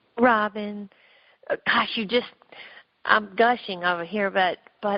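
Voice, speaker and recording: At a fairly slow pace, a woman with a Southern accent speaks at a medium pitch with fairly even intonation. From US South, Memphis, Tennessee. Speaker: novelist. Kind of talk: interview.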